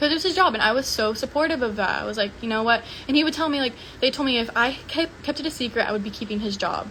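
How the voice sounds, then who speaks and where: Mumbling at a very fast pace, a woman speaks in a high voice with ordinary pitch variation. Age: 20s. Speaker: social media personality. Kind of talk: livestream monologue. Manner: casual filler-heavy.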